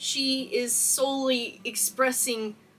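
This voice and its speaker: A woman with an American accent uses a raised, projected voice, high in pitch with a bright, sharp tone. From Texas. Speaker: cosplayer and YouTuber. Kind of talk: video essay, film analysis. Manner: animated.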